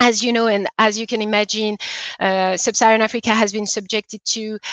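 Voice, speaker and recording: The speaker has a French accent and a monotone, flat intonation at a moderate pace. The sound is dry and close with no echo. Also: woman. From DR Congo. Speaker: investor. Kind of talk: conference talk. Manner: hesitant, many fillers.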